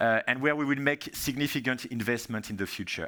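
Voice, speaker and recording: Over a silent background in a very clean recording, a man speaks with a bright, sharp tone. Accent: French. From France. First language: French. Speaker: software industry strategy manager, keynote speaker. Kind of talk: conference keynote presentation. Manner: hesitant, many fillers.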